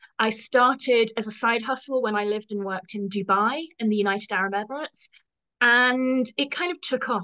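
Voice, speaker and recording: Speaking with a British accent, a woman with a fairly high pitch keeps a moderate pace and ordinary pitch variation. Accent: English (UK). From England. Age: 50s. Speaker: professional organizer. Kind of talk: interview.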